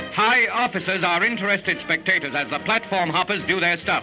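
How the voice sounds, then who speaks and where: A man's raised, projected, high-pitched voice at a fairly quick pace, with ordinary pitch variation and music in the background. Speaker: newsreel narrator. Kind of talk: 1940s newsreel narration.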